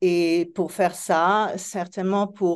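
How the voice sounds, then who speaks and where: Against a quiet background, a woman with a fairly low pitch and a non-native accent speaks at a very slow pace in monotone, flat intonation. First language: not French (speaking French). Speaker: therapist. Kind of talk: panel discussion. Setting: live event with audience. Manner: halting, searching for words.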